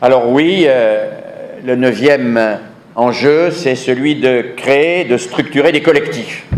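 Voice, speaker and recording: A man with fairly high pitch speaks at a very slow pace with ordinary pitch variation. Noticeable background noise and audible room echo fill the recording. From southern France. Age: 70s. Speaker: education researcher, conference speaker. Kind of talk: conference lecture. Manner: emphatic, repeats key phrases.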